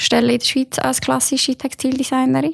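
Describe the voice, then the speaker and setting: A woman is heard with a dry, close sound with no echo. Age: 30s. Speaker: textile designer, children's clothing label founder. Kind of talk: casual interview.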